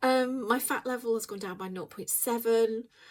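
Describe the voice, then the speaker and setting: On a very clean recording with a silent background, a woman with an English accent speaks at a fairly high pitch with fairly even intonation. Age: 50s. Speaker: weight loss vlogger. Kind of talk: casual vlog chat. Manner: hesitant, filler-heavy.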